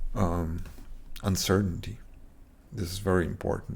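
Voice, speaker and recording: A man with a very deep, low pitch talks with lively intonation. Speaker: trading educator. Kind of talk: tutorial. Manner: slow; halting, many fillers.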